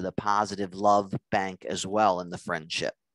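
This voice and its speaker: A man with a normal speaking voice talks at a fairly slow pace in a fairly low pitch, the sound dry and close with no echo against a quiet background. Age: 50s. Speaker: nurse practitioner and relationship lecturer. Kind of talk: lecture.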